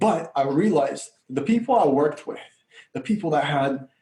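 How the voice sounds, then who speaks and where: A man's dark, mellow, somewhat breathy voice at a moderate pace. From Bulgaria, moved to US at 9. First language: Bulgarian. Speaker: life coach. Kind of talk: podcast interview. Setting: podcast.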